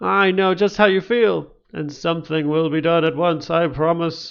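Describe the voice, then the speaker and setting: A man puts on a character voice with a high pitch, speaking at a moderate pace. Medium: read story. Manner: brisk, commanding.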